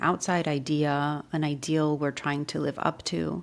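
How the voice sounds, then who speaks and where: A woman speaks in a very deep, low voice with a calm, soothing tone. The recording is very clean, with a silent background. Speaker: meditation guide. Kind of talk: guided meditation / ASMR. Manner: slow, calm, soothing.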